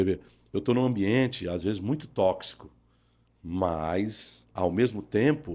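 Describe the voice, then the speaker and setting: On a very clean recording with a silent background, a dark, mellow voice with lively intonation moves at a very slow pace, broken by long, frequent pauses. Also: man. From Brazil, Pernambuco. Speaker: pastor and former radio announcer. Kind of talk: testimony interview.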